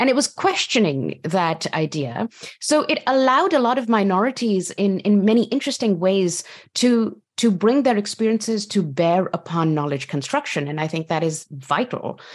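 Moderate pace, very wide pitch swings. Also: woman, medium pitch for a woman. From Pakistan. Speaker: history professor. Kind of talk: panel discussion. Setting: video call.

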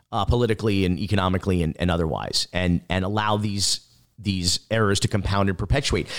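Talking at a very fast pace, a man uses a fairly low voice and fairly even intonation. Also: very even loudness, very clean recording, silent background. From South Florida (North Miami Beach). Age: 40s. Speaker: documentary filmmaker. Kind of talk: interview.

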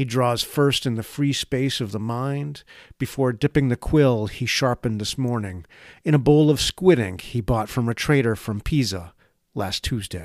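A man with an unremarkable speaking voice talks at a medium pitch with ordinary pitch variation. The recording is very clean, with a silent background and a dry, close sound with no echo. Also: moderate pace. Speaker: essayist reading own piece. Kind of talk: scripted spoken-word essay, read aloud in a wry, lyrical, contemplative tone.

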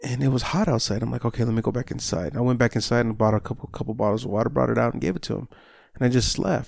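Heard in a very clean recording with a silent background, a man talks at a very fast pace and medium pitch, with ordinary pitch variation and vocal fry. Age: 30s. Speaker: results coach, health and wellness trainer. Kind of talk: casual interview chat.

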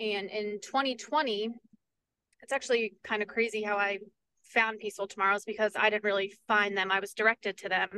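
Her pace is fairly quick, and her intonation is monotone and flat at a medium pitch. The woman speaks with an American accent in a dry, close sound with no echo. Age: 20s. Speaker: peace advocate and nonprofit director. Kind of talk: interview.

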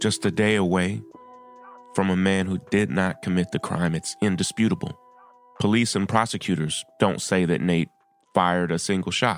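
A man with a very deep, low pitch and very even loudness, music in the background. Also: ordinary pitch variation, moderate pace. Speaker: activist podcast host. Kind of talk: advocacy monologue. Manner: impassioned.

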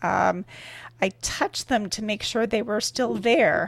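A woman with a Canadian accent talks at a moderate pace and medium pitch, with ordinary pitch variation and vocal fry. The recording is very clean with a silent background. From Canada. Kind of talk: interview. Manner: halting.

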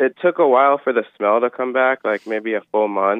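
At a moderate pace, a plain, everyday voice speaks with ordinary pitch variation. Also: man. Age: 20s. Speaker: caller. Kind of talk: call-in chat.

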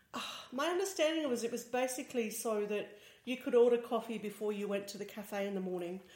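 Talking at a very fast pace, a woman with an Australian accent has a fairly high pitch and lively intonation. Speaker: tech journalist and podcast co-host. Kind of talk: casual chat. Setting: studio, shared single microphone.

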